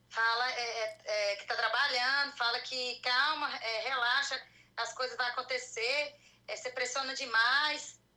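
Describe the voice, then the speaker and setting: Amid noticeable background noise, a woman with a high pitch talks at a fairly slow pace in a monotone, flat intonation. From Goiânia, Brazil. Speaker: caller. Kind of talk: personal consultation. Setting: live stream video call.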